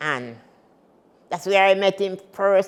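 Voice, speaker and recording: A woman talks at a fairly slow pace. Her voice sits at a medium pitch. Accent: Jamaican. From Jamaica, Saint Thomas parish. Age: 80s+. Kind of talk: interview answer.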